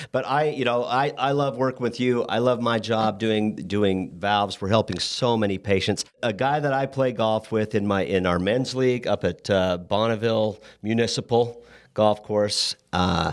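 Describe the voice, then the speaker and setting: The recording is very clean, with a silent background, and a man talks at a moderate pace in a normal speaking voice. His pitch is medium with ordinary variation, and his loudness is very even. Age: 60s. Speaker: medical device sales rep and podcast host. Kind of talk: casual chat.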